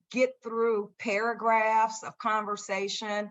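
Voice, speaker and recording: The background is quiet as a woman speaks at a fairly high pitch. Her tone is bright and sharp. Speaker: motivational speaker and brain injury survivor. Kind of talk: interview testimony. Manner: halting, repeated words.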